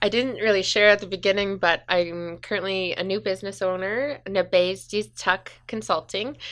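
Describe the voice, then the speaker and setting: Noticeable background noise accompanies a woman speaking with a Western Canadian accent. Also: hardly any pauses. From northern British Columbia, Canada (Smithers). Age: 20s. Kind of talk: casual interview. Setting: community radio studio.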